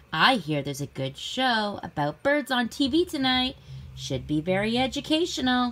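A female-sounding put-on character voice speaks at a high pitch and a moderate pace. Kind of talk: picture-book read-aloud for young children. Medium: read story. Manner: wheedling, bargaining. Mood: persuasive.

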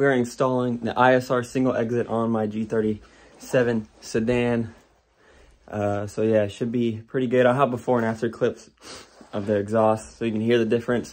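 Monotone, flat intonation marks a man's speech at a moderate pace. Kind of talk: casual vlog chat. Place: home room. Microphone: phone near.

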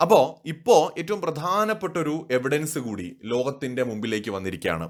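A man is speaking. His pitch swings very widely. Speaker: news commentator. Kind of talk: political commentary monologue.

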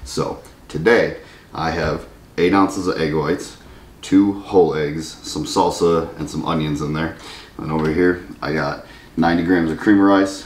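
Over light background noise and audible room echo, a man with a very deep, low voice talks at a moderate pace. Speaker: bodybuilder vlogger. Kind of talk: casual vlog chat. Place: home room. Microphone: camera far.

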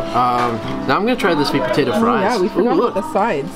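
A man's voice under loud background music. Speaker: food vlogger. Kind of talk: casual vlog chat. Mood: enthusiastic, pleased. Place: bar. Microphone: camera far.

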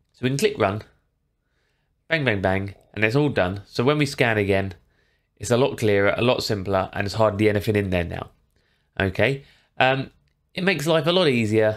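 A man with a normal speaking voice and a fairly low pitch talks at a fairly quick pace with lively intonation, the background quiet. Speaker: tech tutorial creator. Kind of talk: tutorial. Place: home room.

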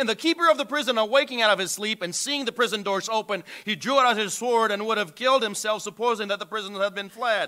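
A man talks at a very fast pace with hardly any pauses, his raised, projected voice high in pitch with ordinary variation. His tone is bright and sharp against a quiet background. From Brazil. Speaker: missionary preacher. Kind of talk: sermon. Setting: church. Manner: earnest, preaching with pauses and fillers. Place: church.

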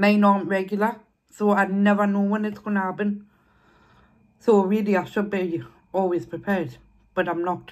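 A woman at a moderate pace with fairly even intonation and long, frequent pauses, the background quiet. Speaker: eating vlogger. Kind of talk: casual vlog chat. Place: home room. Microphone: phone near.

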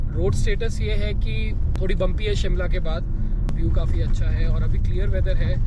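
A man speaks at a moderate pace. The sound is dry with no echo, but loud background noise runs underneath. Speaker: travel vlogger driving. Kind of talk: casual vlog chat. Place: car. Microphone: phone near.

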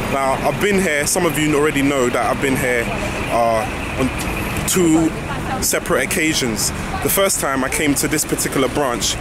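A man's voice with ordinary pitch variation in a dry sound with no echo, under loud background noise. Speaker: food reviewer vlogger. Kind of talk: casual vlog chat. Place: street. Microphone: phone near.

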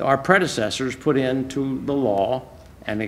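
The delivery moves at a moderate pace. Pitch varies in an ordinary way. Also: man.

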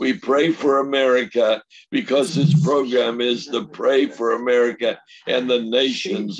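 A man is talking at a fairly slow pace. Light background noise can be heard. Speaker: missionary evangelist. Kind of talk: ministry talk and teaching. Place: home room. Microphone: video call.

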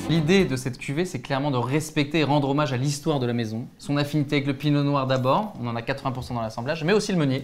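Talking at a very fast pace, a man with a fairly high voice uses ordinary pitch variation against light background noise. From Champagne region, France. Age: 30s. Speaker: winemaker. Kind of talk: interview about wine tasting. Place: studio. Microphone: lapel.

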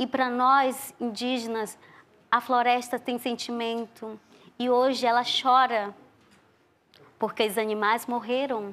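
A woman with an Amazonian accent speaks very slowly in a high, flat monotone. Her words are broken up by long, frequent pauses. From Brazil, Amazonas, Tikuna village near Colombia-Peru border. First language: Tikuna (speaking Portuguese). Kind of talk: interview.

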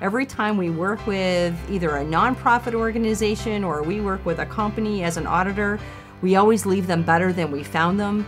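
With clear music in the background, a woman talks at a fairly quick pace in a medium pitch, with ordinary pitch variation. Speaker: professional auctioneer; auctioneer. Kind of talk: interview answer.

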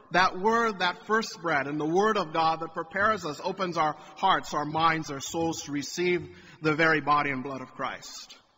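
Light background noise sits under a man's high-pitched voice as he speaks at a moderate pace with ordinary pitch variation. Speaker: priest. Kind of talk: sermon. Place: church.

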